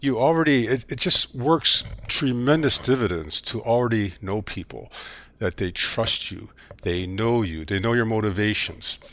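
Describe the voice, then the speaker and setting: Lively in intonation, a man with an unremarkable speaking voice talks at a moderate pace and medium pitch. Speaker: former corporate sustainability executive and author. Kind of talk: interview, conversational.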